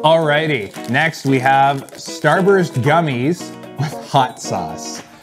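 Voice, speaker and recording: A man talks over clear music playing in the background. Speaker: food challenge host. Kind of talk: casual vlog chat. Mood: playful mock disgust. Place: studio. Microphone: lapel.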